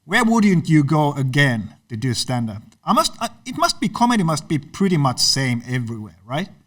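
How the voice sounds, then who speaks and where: A somewhat breathy man at a moderate pace, his fairly high voice making very wide pitch swings. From Finland. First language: Finnish. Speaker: comedian and podcast host. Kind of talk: interview. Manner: halting.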